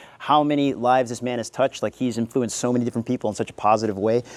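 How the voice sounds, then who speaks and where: Words pour out at a very fast pace. A man is talking. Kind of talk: speech at ceremony.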